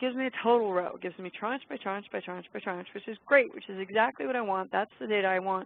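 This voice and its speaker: A woman speaks very fast at a medium pitch, her loudness swinging widely while her pitch varies in an ordinary way. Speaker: stock plan consultant. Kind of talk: tutorial. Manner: casual, enthusiastic.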